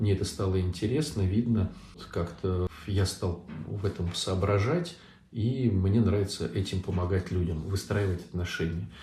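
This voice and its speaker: The tone is dark and mellow, somewhat breathy. Pitch varies in an ordinary way at a fairly slow pace. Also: man, very deep, low pitch for a man. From Saint Petersburg, Russia. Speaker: Orthodox priest. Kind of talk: live online Q&A talk. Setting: online livestream.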